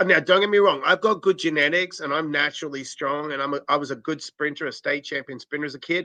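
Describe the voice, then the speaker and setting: At a very fast pace, a man speaks with a fairly high pitch, ordinary pitch variation and a bright, sharp tone, in a dry, close sound with no echo. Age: 50s. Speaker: podcast host. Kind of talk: interview conversation. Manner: casual, conversational.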